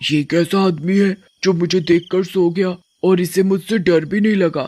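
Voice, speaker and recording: A man puts on a cartoonish character voice pitched high. He keeps a moderate pace. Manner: menacing.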